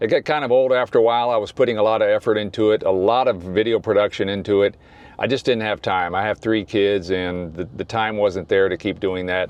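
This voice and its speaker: This man has an ordinary speaking voice, fairly low in pitch, with an American accent, fairly even intonation and a fairly quick pace. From US South. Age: 60s. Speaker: YouTuber. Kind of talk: vlog. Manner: casual.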